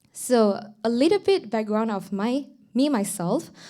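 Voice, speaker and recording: A woman's fairly high, dark, mellow voice in a Mandarin accent, at a fairly slow pace. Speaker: student council president. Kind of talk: formal speech. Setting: stage with audience. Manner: formal; halting.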